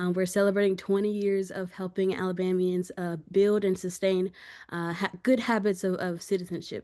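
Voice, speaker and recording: A woman with a Southern US accent, medium in pitch and dark and mellow in tone, monotone and flat, at a moderate pace against a quiet background. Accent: US South. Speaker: civic program coordinator. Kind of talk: panel presentation.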